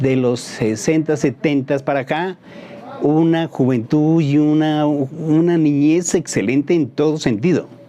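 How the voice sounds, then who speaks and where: A man with a fairly high voice speaks at a fairly slow pace with fairly even intonation. His loudness stays very even, and background noise is noticeable. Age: 50s. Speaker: woodworker. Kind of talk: interview testimony.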